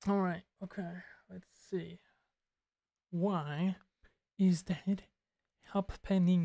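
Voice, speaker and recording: The voice is somewhat breathy and monotone, with flat intonation, a very slow pace and long, frequent pauses, in dry, close sound with no echo. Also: woman, medium pitch for a woman. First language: Turkish. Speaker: streamer learning compositing. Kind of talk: casual live tutorial commentary. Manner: casual, code-switching Turkish and English.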